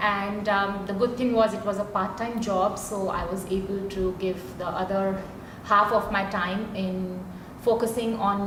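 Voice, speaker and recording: Amid noticeable background noise and audible room echo, a woman speaks at a moderate pace and medium pitch with fairly even intonation. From India. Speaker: career facilitator, former professor. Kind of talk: panel discussion. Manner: hesitant, with fillers.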